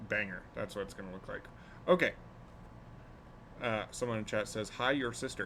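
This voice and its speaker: At a moderate pace, a man with an American accent and a fairly low pitch speaks in a bright, sharp tone, with ordinary pitch variation, big swings in loudness, and long, frequent pauses. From US Pacific Northwest (Portland). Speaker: streamer. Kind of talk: casual chat. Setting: live stream. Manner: halting, many fillers.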